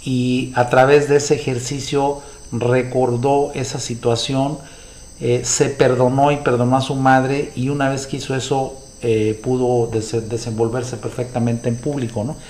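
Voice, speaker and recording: Against noticeable background noise, a man with a Mexican accent speaks at a medium pitch with monotone, flat intonation. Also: fairly slow pace. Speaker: podcast host discussing books. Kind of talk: solo monologue commentary. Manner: halting, many fillers and repetitions.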